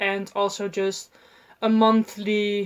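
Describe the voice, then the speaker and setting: In a Dutch accent, a woman speaks at medium pitch with monotone, flat intonation. The recording is very clean and the background silent. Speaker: book vlogger. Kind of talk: casual vlog talk. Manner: halting, many fillers.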